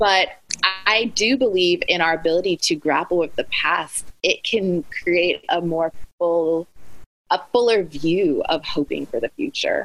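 A woman's normal speaking voice, fairly low in pitch with ordinary pitch variation, very even loudness and a fairly slow pace. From Alaska (Anchorage), US. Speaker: author and speaker. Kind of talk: interview conversation.

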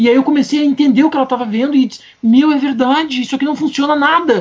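A man is speaking. His tone is animated. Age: 40s. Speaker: comics researcher and writer. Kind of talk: casual chat.

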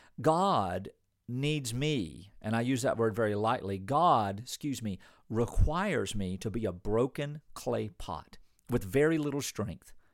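On a very clean recording with a silent background, a man with an ordinary speaking voice talks at a fairly slow pace, medium in pitch and lively in intonation. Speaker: pastor. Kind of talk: sermon.

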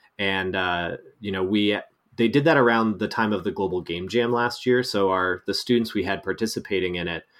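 A man with an unremarkable speaking voice, fairly low-pitched with ordinary pitch variation, at a moderate pace on a very clean recording with a silent background. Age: 30s. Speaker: game design professor. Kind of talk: casual interview.

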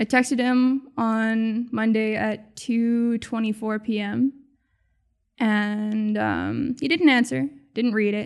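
A woman with a Canadian accent and fairly high pitch, at a very slow pace with ordinary pitch variation, on a very clean recording over a silent background. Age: 20s. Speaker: harm reduction worker. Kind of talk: interview and audio diary. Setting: self-recorded in an industrial building drop-in space. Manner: hesitant, many fillers.

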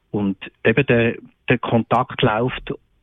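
A man talks at a medium pitch. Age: 60s. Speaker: psychiatrist. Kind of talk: radio interview. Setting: remote call-in from holiday. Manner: hesitant, many fillers.

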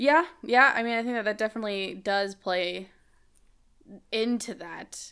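At a fairly slow pace with long, frequent pauses, a woman speaks in a fairly high voice with a bright, sharp tone and ordinary pitch variation. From Cuban-American community, US. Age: 20s. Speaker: podcast guest, host's roommate. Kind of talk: casual chat.

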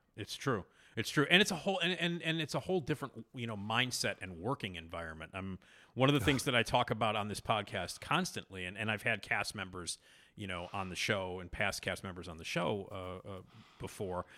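A man with an American accent speaks at a fairly quick pace in a bright, sharp tone, with lively intonation and big swings in loudness, on a very clean recording with a silent background. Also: fairly low pitch for a man. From Chicago. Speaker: podcast host and comedy writer. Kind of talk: casual interview chat.

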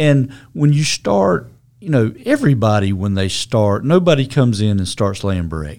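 A man has a normal speaking voice, fairly low in pitch. He talks at a moderate pace with lively intonation. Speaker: mason company owner. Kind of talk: casual interview.

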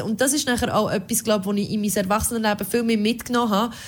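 A woman speaks at a very fast pace in a fairly high pitch. Her voice is somewhat breathy, with fairly even intonation. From rural Switzerland. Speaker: radio podcast co-host. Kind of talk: casual chat.

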